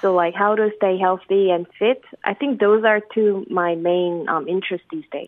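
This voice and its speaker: With a Korean accent, a woman speaks at a moderate pace with ordinary pitch variation. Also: medium pitch for a woman, hardly any pauses. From South Korea. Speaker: government spokesperson. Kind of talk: casual chat. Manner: halting.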